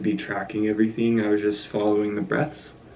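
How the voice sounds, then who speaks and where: A man speaks in a fairly low, dark, mellow voice with flat, monotone intonation. Room echo is audible. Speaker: art vlogger. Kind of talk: casual vlog narration. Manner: soft-spoken; hushed.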